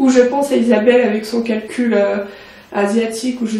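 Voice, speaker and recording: A woman talks at a moderate speed amid noticeable noise, with audible echo from the room. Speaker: beauty vlogger. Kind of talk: casual vlog. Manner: hesitant.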